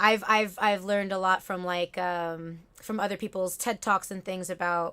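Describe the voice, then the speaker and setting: A bright, sharp tone with a Spanish accent, fairly even intonation and a fairly slow pace, on a very clean recording with a silent background. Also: woman. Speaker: talk show host. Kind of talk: casual chat.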